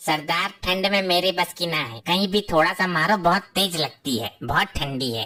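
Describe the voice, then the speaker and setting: In a cartoonish character voice, a woman talks at a moderate pace with hardly any pauses, a fairly low pitch and lively intonation. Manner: sarcastic, rustic.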